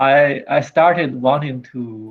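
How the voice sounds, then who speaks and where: Speaking at a very slow pace with a non-native accent, a man has a fairly high pitch and ordinary pitch variation. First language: not English. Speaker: robot hobbyist presenting a project. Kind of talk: online meeting show-and-tell. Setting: video call. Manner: halting.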